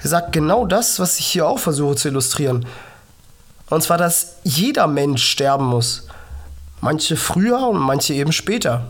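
Pausing long and often, a woman with a very deep, low pitch uses lively intonation, with audible room echo. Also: moderate pace, very even loudness. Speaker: podcast host, cystic fibrosis patient. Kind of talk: motivational monologue.

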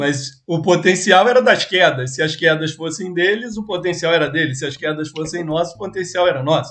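A man talks at a moderate pace with a high pitch and ordinary pitch variation. Background noise is noticeable. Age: 40. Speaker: podcast host. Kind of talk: casual interview.

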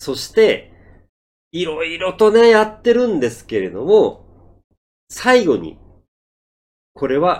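The speaker is a man. He goes at a fairly slow pace. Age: 50s. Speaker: Japanese-learning podcaster and driver. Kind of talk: monologue for Japanese learners. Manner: slow, deliberate speech.

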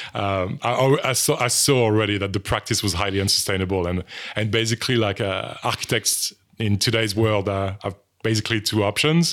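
Someone with a French accent talks at a fairly quick pace with ordinary pitch variation. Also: man, fairly low pitch for a man. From France. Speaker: design lecturer. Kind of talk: interview. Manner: halting.

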